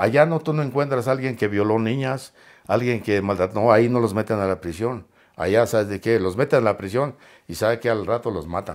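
At a fairly quick pace, a man with an ordinary speaking voice talks at a medium pitch with ordinary pitch variation, in a very clean recording with a silent background. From Mexico. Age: 60s. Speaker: interview guest, ex-prisoner. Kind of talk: interview, personal storytelling.

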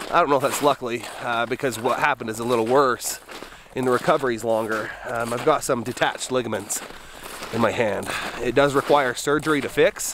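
Noticeable background noise sits behind a man's voice, which sounds dry with no echo. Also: fairly even intonation, fairly quick pace. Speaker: outdoor vlogger. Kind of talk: casual vlog chat. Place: forest. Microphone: phone near.

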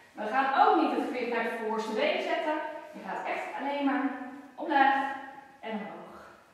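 A woman's high, lively voice at a moderate pace, broken by long, frequent pauses, with strong room echo. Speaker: fitness instructor. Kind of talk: tutorial; exercise demonstration with verbal cues. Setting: exercising with children on a mat. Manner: brisk, clear, instructive; encouraging, friendly. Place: gym. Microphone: camera far.

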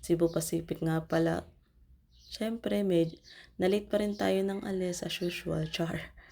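A woman's fairly low, dark, mellow voice at a fairly slow pace with ordinary pitch variation, in a very clean recording with a silent background. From Philippines. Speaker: vlogger, overseas Filipino worker. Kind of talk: travel vlog voiceover.

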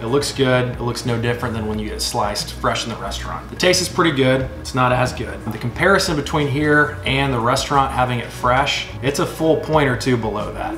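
The speech moves fairly quickly with hardly any pauses. Audible room echo and light background noise are present. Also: man. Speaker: food reviewer. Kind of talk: casual vlog chat. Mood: relaxed, cheerful. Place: home room. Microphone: camera far.

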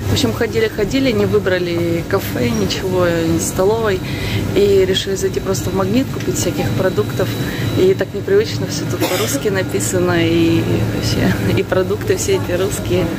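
A woman's voice, dry and echo-free, over loud background noise. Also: moderate pace. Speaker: travel vlogger. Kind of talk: casual vlog chat. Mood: amused, relaxed. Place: shop. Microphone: phone near.

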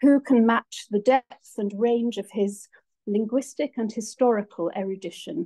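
Over a quiet background, a woman speaks at a fairly slow pace in a dark, mellow, somewhat breathy tone with ordinary pitch variation. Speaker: lecture host introducing guest. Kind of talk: formal introduction speech. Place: hall. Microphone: phone near.

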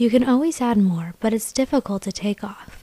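Soft-spoken and somewhat breathy, a woman talks at a moderate pace at a fairly high pitch with ordinary pitch variation. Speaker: beauty vlogger. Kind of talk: makeup tutorial voice-over. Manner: quiet, soft-spoken.

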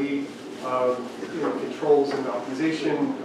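A man is speaking amid noticeable background noise. Strong room echo fills the recording. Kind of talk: presentation talk. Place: meeting room.

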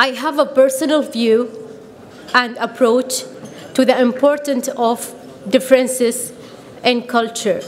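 In an Arabic accent, the speaker talks at a fairly slow pace with long, frequent pauses and monotone, flat intonation over light background noise. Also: woman, high pitch for a woman. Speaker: PhD student in sociology. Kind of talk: prepared speech. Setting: podium at a conference with audience. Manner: formal. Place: hall. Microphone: podium.

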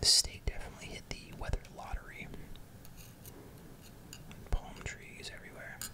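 Someone soft-spoken whispers at a moderate pace against loud background noise. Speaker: presenter. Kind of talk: casual product commentary. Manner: soft close ASMR whisper.

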